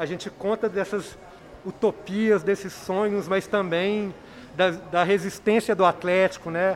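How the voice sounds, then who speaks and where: Pitched high, a man talks at a fairly slow pace with monotone, flat intonation. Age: 40s. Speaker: documentary film director. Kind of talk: radio interview.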